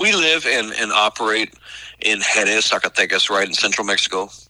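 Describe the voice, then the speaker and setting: Recorded with a dry, close sound and no echo, a man speaks with a Southern US accent. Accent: Southern US (Oklahoma). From Oklahoma. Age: 40s. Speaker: missionary. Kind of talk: interview. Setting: radio interview.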